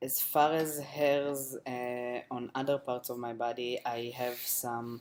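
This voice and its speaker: A man's monotone, flat delivery at a very slow pace. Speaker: video blogger. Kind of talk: casual vlog monologue. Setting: home webcam recording, low lighting. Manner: hesitant, many fillers.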